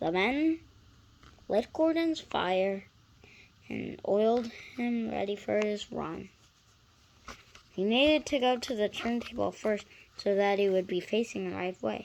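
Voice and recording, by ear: A woman's medium-pitched voice with vocal fry and a slightly mellow tone, slow pace, ordinary pitch variation, long and frequent pauses.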